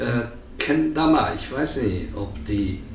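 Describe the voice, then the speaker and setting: At a very slow pace, a man speaks with ordinary pitch variation amid audible room echo and light background noise. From Japan. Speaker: volunteer senior teacher at a school. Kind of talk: interview answer. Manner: hesitant, many filler sounds. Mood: cheerful, warm. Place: home room.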